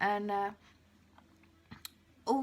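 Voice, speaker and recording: A woman speaks with an English accent at a medium pitch. Her pace is very slow. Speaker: vlogger with agoraphobia. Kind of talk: video diary. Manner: casual, halting.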